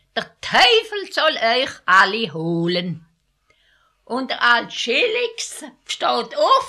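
Very wide pitch swings and a bright, sharp tone mark this woman's voice. She speaks very slowly in a strong Alemannic accent. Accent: strong Alemannic dialect colouring. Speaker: elderly villager recounting her life. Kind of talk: oral history interview.

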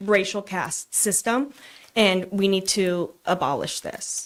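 A woman with a plain, everyday voice, medium in pitch, fairly even in intonation, with an American accent. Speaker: public commenter. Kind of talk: public comment at council meeting. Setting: council meeting room.

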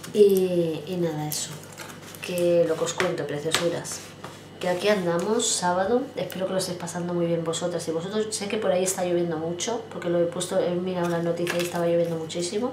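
With noticeable background noise, a woman talks at a fairly quick pace, her fairly low voice keeping a fairly even intonation. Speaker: vlogger. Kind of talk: casual vlog chat. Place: home room. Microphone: phone near.

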